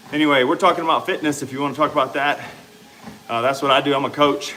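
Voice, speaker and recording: A man with an American accent and a fairly high pitch, over noticeable background noise. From US South, Louisiana. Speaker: fitness coach and livestreamer. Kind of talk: casual livestream chat reading comments. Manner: conversational, exercising while talking.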